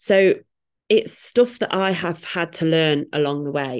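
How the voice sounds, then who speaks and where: A woman with a British accent, fairly slow pace and ordinary pitch variation. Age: 30s. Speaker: fitness coach. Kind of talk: casual chat. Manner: animated.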